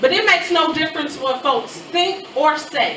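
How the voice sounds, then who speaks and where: A woman uses a raised, projected voice at a moderate pace. The room echo is audible, and background noise is noticeable. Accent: American. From US Midwest, Chicago. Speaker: spoken word poet. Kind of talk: spoken word poetry performance.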